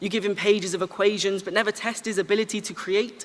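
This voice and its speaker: A fairly quick delivery with an English accent, over noticeable background noise. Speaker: spoken word poet. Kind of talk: slam poetry performance. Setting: stage with audience. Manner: fast.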